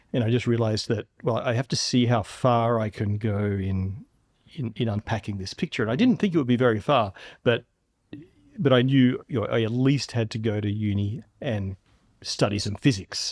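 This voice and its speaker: A man with an Australian accent and medium pitch talks at a moderate pace with ordinary pitch variation, in a very clean recording with a silent background and a dry, close sound with no echo. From Australia, Melbourne outer suburbs. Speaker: physics professor and science show host. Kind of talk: podcast interview.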